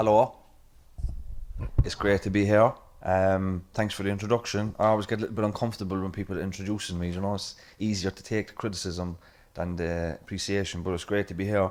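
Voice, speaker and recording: Speaking very fast with a Cork accent, a man keeps a monotone, flat intonation at a fairly low pitch on a very clean recording with a silent background. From Ireland, Cork City. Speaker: event chair and podcaster. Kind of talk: conference chairing remarks.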